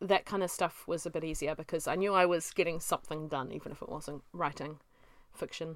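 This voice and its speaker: With a New Zealand accent, a woman speaks at a fairly low pitch and a fairly quick pace with fairly even intonation, on a very clean recording with a silent background. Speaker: self-published author and podcast host. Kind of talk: casual solo monologue.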